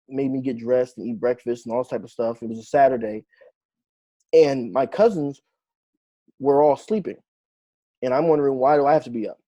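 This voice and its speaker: In a dry, close recording with no echo, a speaker with an American accent and a dark, mellow tone talks at a fairly quick pace with ordinary pitch variation, big swings in loudness, and long, frequent pauses. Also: man, medium pitch for a man. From New Jersey. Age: 30s. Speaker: author and genealogist. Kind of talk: interview. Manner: hesitant, many fillers.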